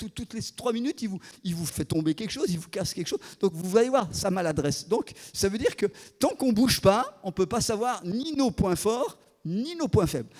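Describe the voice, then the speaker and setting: A man with a high pitch talks at a fairly quick pace and with lively intonation, the sound dry and close with no echo. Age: 60s. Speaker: guest preacher, former missionary. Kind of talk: sermon. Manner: halting, frequent repetitions.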